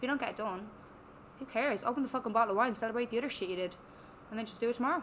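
A woman with a fairly high pitch speaks very fast in an animated tone, using ordinary pitch variation and long, frequent pauses. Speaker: personal trainer and coach. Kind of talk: casual interview chat. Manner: swears a lot, animated; quieter than host.

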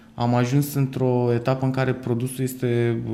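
The voice has a dark, mellow tone and monotone, flat intonation. It moves at a fairly slow pace. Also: man. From Moldova region. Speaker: startup founder and CEO. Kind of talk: interview. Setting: studio. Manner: hesitant, many fillers.

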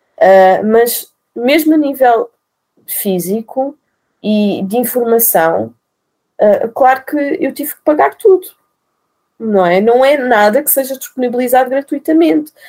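Using a high pitch and a dark, mellow tone, a woman talks at a fairly slow pace with lively intonation, big swings in loudness and long, frequent pauses. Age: 30s. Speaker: nurse and mother telling birth story. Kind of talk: interview, personal testimony.

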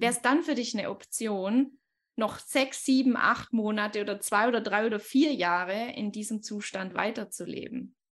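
A woman's fairly high-pitched, an unremarkable speaking voice, at a moderate pace with ordinary pitch variation. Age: 20s. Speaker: life coach. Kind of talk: podcast interview.

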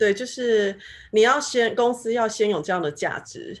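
Over a quiet background, a woman talks in a fairly high voice. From Taiwan. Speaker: finance professional in tech. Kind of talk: casual chat.

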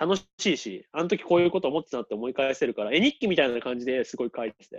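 The background is silent. Against it, a man speaks very fast. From Japan, Toyama. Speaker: illustrator and painter. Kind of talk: casual interview chat. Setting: video call.

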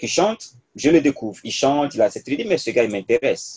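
Pitch swinging very widely, a man talks fairly quickly in a fairly high voice, in a dry, close sound with no echo. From Côte d'Ivoire (Burkinabe diaspora). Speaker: public policy researcher and youth leader. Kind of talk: interview, personal story.

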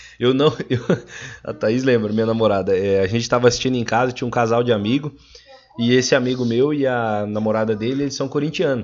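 This man talks at a very fast pace, his medium-pitched voice keeping a fairly even intonation. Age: 20s. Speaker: podcast guest, agribusiness sales worker. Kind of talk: casual chat.

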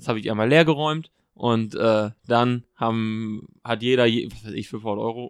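A man with an unremarkable speaking voice shows ordinary pitch variation and big swings in loudness. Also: medium pitch for a man, fairly slow pace. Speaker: podcast host. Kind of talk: casual chat.

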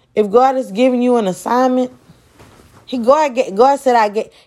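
A woman's high-pitched, animated voice at a moderate pace, with ordinary pitch variation. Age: 20s. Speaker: podcast host and preacher. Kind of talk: sermon-style podcast monologue.

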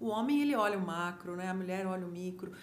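Audible room echo follows a woman as she talks at a fairly quick pace. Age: 50s. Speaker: photographer and journalist. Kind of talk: casual chat.

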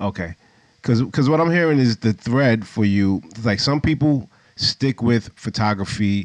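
In an unremarkable speaking voice, a man talks at a moderate pace with ordinary pitch variation, the sound dry and close with no echo. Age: 40s. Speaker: podcast host, photographer. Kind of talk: casual interview. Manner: laid-back.

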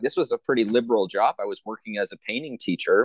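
A man talks at a fairly quick pace with an American accent. The sound is dry and close with no echo, over a quiet background. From United States. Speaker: artist and activist. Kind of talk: interview.

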